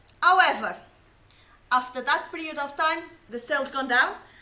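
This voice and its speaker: Projecting her voice in a room with audible echo, a woman speaks at a high pitch and moderate pace with ordinary pitch variation. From Portugal. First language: Portuguese. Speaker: science communicator. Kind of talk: personal testimony. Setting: live stream.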